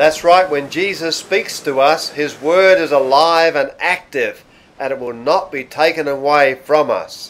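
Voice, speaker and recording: An Australian accent with fairly even intonation at a fairly slow pace. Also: man, fairly high pitch for a man. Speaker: pastor. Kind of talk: sermon, religious teaching to camera. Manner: calm, conversational.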